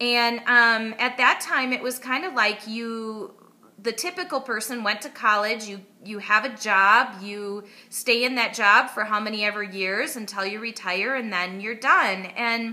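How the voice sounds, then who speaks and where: A woman speaks at a fairly slow pace with a slight Wisconsin accent. Her fairly high pitch varies in an ordinary way, and her loudness swings widely. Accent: Midwestern (Wisconsin), slight. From US Midwest, Wisconsin. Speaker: online marketer. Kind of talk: personal story to camera.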